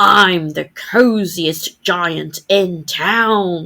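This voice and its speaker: A woman's growling, put-on character voice at medium pitch. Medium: read story.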